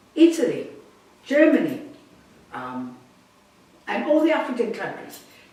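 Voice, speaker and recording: Noticeable background noise and audible room echo surround a woman whose pitch swings very widely at a fairly slow pace. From South Africa, Cape Town. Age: 80s+. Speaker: jazz singer. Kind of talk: interview.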